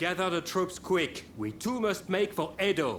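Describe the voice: Putting on a character voice, a man speaks fairly slowly at a high pitch with a fairly bright tone and big pitch swings.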